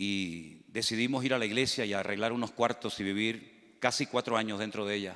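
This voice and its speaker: The recording is very clean, with a silent background. A man speaks at medium pitch with fairly even intonation. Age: 60s. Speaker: pastor. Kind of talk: sermon. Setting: church.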